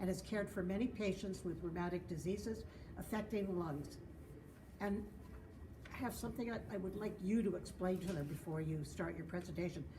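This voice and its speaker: The woman talks at a fairly quick pace, with audible room echo. Noticeable background noise runs underneath. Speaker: board member of patient association. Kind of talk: speaker introduction. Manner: loud.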